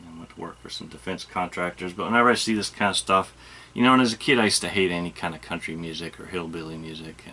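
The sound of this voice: A man with an Ohio accent and a very deep, low pitch talks at a very fast pace in a bright, sharp tone, with ordinary pitch variation and big swings in loudness. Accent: Ohio, Midwestern.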